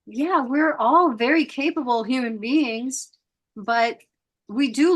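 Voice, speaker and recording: Against a quiet background, a woman with a high pitch speaks at a fairly slow pace with ordinary pitch variation. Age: 60s. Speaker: podcast host. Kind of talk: casual chat.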